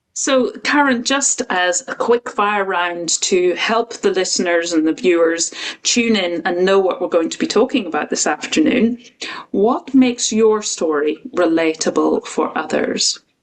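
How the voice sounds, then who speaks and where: A woman with a Northern Irish accent speaks fairly slowly at a medium pitch, her intonation lively. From Northern Ireland. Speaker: podcast host. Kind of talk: interview.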